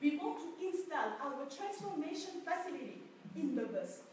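Extremely high-pitched and swinging very widely, a woman's voice comes through noticeable background noise and audible room echo. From Senegal. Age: 20s. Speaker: young entrepreneur. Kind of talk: pitch presentation.

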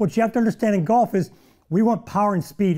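A man's dark, mellow tone with ordinary pitch variation, over a quiet background. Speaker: golf show host. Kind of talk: tutorial. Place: studio.

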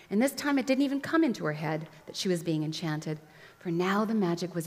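The clip has an unforced reading voice. That delivery holds throughout.

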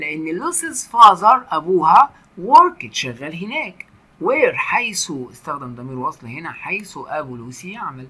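Using a raised, projected voice, a man with a high pitch speaks at a fairly slow pace with very wide pitch swings and big swings in loudness over noticeable background noise. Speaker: English teacher. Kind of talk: lecture.

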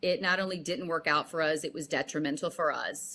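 Her tone bright and sharp, a woman talks at a medium pitch and a moderate pace. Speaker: actress. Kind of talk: interview. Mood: earnest, emotional. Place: home room.

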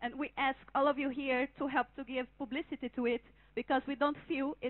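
A woman with a Portuguese accent, high-pitched, at a fairly quick pace with fairly even intonation. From Brazil. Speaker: conference participant speaking for a working group. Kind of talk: prepared statement at a conference. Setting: conference hall with audience. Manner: halting, repeats words at times. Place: hall. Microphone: handheld.

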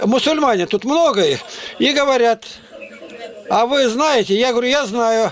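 Here is a man with an extremely high pitch and ordinary pitch variation. Light background noise sits behind him. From Siberia, Russia (Altai Krai, Barnaul); Altai Krai, Russia. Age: 80s+. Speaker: street preacher. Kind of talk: street preaching and conversation with strangers. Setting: chat roulette video call. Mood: earnest, preaching. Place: home room. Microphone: webcam.

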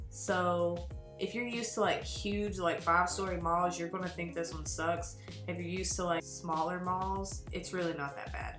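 A woman's voice with audible room echo and clear music in the background. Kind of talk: casual vlog chat. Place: home room. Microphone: webcam.

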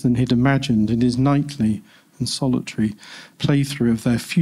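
Simple, plain reading aloud.

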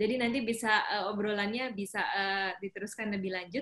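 This woman talks at a moderate pace with a fairly high pitch and ordinary pitch variation. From North Sumatra. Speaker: webinar moderator. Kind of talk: webinar moderation. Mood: warm, smiling, relaxed. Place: home room. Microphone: video call.

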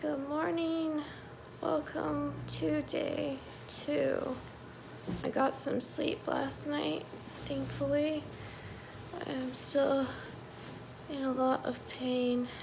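Over noticeable background noise, a woman talks at a very slow pace with long, frequent pauses. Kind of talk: casual vlog chat. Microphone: phone near.

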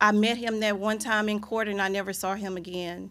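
A woman's fairly bright tone at a moderate pace, with little pitch movement

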